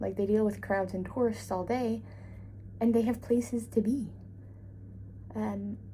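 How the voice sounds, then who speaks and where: A woman with a Newfoundland accent, at a fairly slow pace. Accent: Newfoundland and Labrador Canadian English. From Labrador, Canada. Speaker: travel vlogger. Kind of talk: casual vlog chat. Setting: hotel room and walking around city. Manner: chatty, rambling.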